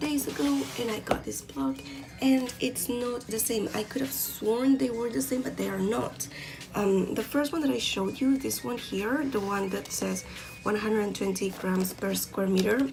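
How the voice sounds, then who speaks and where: A speaker with a non-native accent uses very wide pitch swings. Music plays in the background, and the room echo is audible. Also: woman. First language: not English. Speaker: art hobbyist YouTuber. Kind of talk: product review tutorial. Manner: hesitant, many fillers. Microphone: poor quality camera recording.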